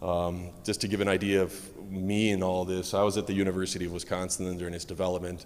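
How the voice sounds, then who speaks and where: Delivered at a very fast pace in an American accent, the voice is monotone and flat, with audible room echo. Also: man, very deep, low pitch for a man. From United States. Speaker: medical physicist, conference speaker. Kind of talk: conference talk.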